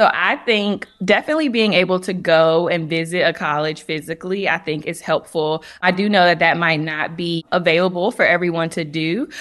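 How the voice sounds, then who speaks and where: Using a normal speaking voice, a woman talks at a moderate pace and fairly low pitch with fairly even intonation and hardly any pauses. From North Carolina. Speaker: clinical social worker. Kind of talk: interview.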